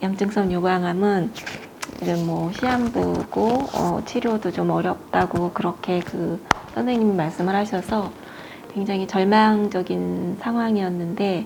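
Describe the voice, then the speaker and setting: Over noticeable background noise, a woman talks very slowly at a medium pitch with ordinary pitch variation. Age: 60s. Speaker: cancer patient. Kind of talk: interview. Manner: hesitant, with fillers.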